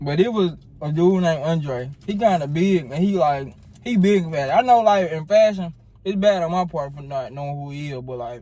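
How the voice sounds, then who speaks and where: A voice with a Southern US accent and a dark, mellow tone. It moves at a moderate pace with ordinary pitch variation. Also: man. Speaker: YouTuber and fashion student. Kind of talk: casual chat. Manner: mouth full.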